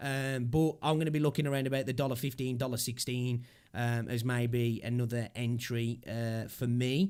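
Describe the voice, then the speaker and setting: A British accent at a moderate pace with hardly any pauses. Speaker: crypto livestreamer. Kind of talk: casual livestream commentary.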